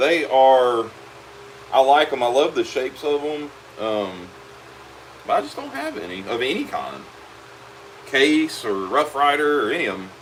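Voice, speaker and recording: A man's fairly high voice at a moderate pace, with lively intonation, big swings in loudness, long, frequent pauses, and noticeable background noise. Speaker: leatherworker. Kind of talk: live stream chat while working. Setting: workshop. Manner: casual, relaxed.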